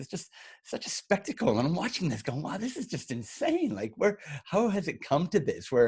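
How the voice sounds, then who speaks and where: Against a quiet background, a man talks at a fairly quick pace. His intonation is lively. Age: 50s. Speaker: podcast co-host, entrepreneur. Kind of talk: casual chat. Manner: halting, many repeated words.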